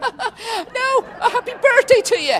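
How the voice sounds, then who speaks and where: An extremely high, squeaky put-on character voice speaks at a fairly slow pace. Clear background noise sits behind it. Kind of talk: comic overacting. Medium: comedy sketch. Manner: jovial, rambling, laughing.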